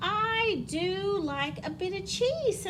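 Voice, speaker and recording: Noticeable background noise sits behind a squeaky, put-on character voice. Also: woman. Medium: read story. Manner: polite, soft.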